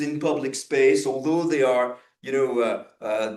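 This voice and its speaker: In a French accent, a man talks at a very slow pace. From France. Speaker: professor. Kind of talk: lecture. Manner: halting, many fillers and repetitions.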